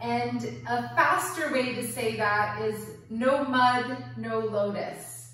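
Speech comes at a very slow pace, with strong echo filling the room. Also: woman. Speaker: yoga teacher. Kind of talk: guided yoga and meditation class. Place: home room. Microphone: camera far.

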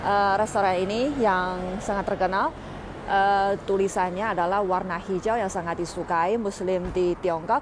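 A woman at a fairly slow pace with fairly even intonation and very even loudness, in a dry sound with no echo and noticeable background noise. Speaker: travel vlogger. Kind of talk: casual vlog chat. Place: street. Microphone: earbuds.

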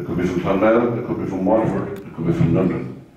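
A man speaks at a moderate pace with strong room echo. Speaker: local councillor giving opening remarks. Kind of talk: public speech. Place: hall.

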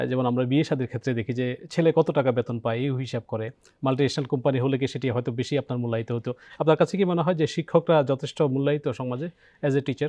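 A man uses a normal speaking voice at a medium pitch with ordinary pitch variation. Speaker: TV talk show host. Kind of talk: TV interview. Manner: formal.

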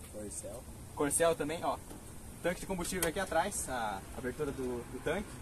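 A man talks at a moderate pace with lively intonation. Noticeable background noise runs under his voice. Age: 20s. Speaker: car YouTuber; car vlogger. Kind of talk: casual vlog with test drive. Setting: in a car. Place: street. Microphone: phone near.

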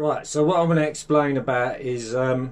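A man talks at a moderate pace and medium pitch. His pitch variation is ordinary.

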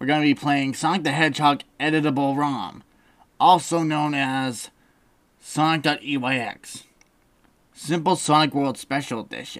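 A put-on character voice at low-to-middle pitch, moderate pace and long, frequent pauses, in a very clean recording with a silent background. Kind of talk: let's play commentary. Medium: game stream. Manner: casual, wisecracking, easily startled.

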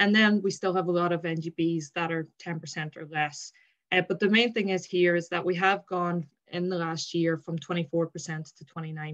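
Against a quiet background, a woman with an Irish accent speaks at a fairly slow pace, her intonation fairly even while her loudness swings a lot. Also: fairly low pitch for a woman. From Ireland. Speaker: sports administrator, former rugby player; presenter. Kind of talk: webinar presentation. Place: home room. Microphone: video call.

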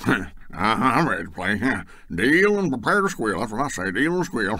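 A man in a put-on character voice, playful in tone, medium in pitch, with very wide pitch swings, a moderate pace and light background noise. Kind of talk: folksy, colloquial. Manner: jovial, playful.

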